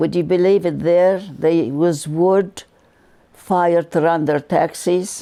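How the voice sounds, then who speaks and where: A woman speaks at a very slow pace in a dark, mellow tone. Her pitch is fairly low, with ordinary variation. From Lebanon. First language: Arabic. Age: 80s+. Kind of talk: interview answer.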